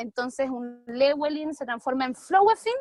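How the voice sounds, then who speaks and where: A woman with a high voice speaks in a Chilean accent at a moderate pace with lively intonation. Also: dry, close sound with no echo. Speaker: debate audience speaker. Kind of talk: humorous debate speech.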